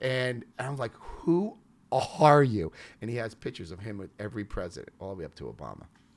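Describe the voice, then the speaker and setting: A man with an American accent talks at a fairly quick pace and medium pitch, his intonation lively. His voice shows vocal fry, and his loudness swings widely. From New York. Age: 50s. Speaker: entrepreneur and former pilot. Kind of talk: interview. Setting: studio.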